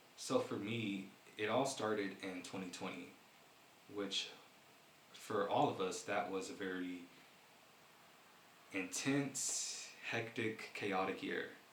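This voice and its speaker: Amid noticeable background noise and audible room echo, a man with fairly low pitch and fairly even intonation speaks at a fairly slow pace with long, frequent pauses. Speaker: vlogger. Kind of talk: personal vlog talk. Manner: halting.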